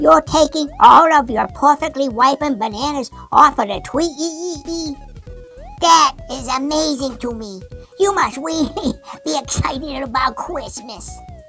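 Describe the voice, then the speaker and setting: A female-sounding, cartoonish character voice speaks at a high pitch and a moderate pace. Music plays clearly in the background. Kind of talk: children's puppet show. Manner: enthusiastic, wholesome.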